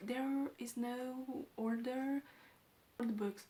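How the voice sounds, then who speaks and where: A woman with a Romanian accent, a fairly high pitch and a dark, mellow tone. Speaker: book vlogger. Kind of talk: casual vlog talk.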